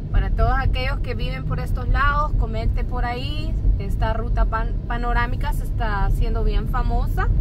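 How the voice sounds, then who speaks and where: Over loud background noise, a woman talks at a moderate pace with hardly any pauses, her voice dry with no echo. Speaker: passenger co-host. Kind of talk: casual vlog chat. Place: car. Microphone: phone near.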